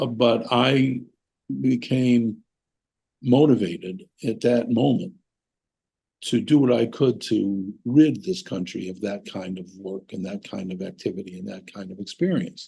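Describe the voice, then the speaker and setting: A man speaks at a medium pitch in a dark, mellow tone. His intonation is lively, and his loudness swings widely. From US. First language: German. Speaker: economics professor. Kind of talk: interview. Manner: hesitant with fillers.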